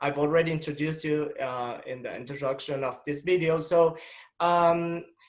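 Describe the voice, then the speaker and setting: Speaking at a moderate pace in an Argentine accent, a man keeps a fairly high pitch and fairly even intonation. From Argentina. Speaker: doctor and interviewer. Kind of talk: scripted introduction; interview. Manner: halting.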